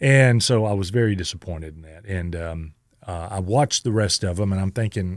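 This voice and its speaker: Over a very clean recording with a silent background, a man speaks in a Southern US accent. His very deep, low pitch shows ordinary pitch variation at a fairly quick pace. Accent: Southern American. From Southern United States. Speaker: radio host and tribute performer. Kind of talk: interview answer. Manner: hesitant, conversational.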